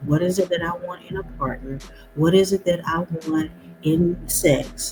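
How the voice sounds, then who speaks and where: Music plays behind a woman with an American accent. Her pitch is fairly low and her pace moderate. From US South, North Alabama. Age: 50s. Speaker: YouTube talk show host. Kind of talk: casual vlog monologue.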